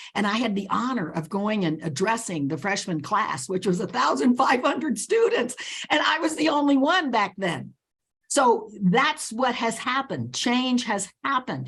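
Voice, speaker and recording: Animated in tone, a woman with an American accent speaks at a moderate pace with a fairly high pitch, very wide pitch swings and vocal fry. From Nicaragua, raised in the US from age three. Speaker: leadership author and advocate. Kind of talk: interview.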